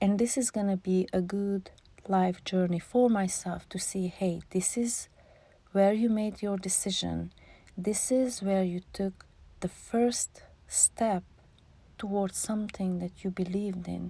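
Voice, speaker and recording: Speaking with a non-native accent, a woman has a medium-pitched, somewhat breathy voice, a dark, mellow tone and fairly even intonation. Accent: foreign accent in English. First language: not English. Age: 40s. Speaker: vlogger. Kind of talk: voiceover monologue. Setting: in a closet.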